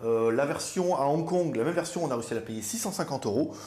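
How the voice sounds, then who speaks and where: Somewhat breathy, a man talks fairly quickly with lively intonation in audible room echo. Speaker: viewer reviewer. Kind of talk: product review.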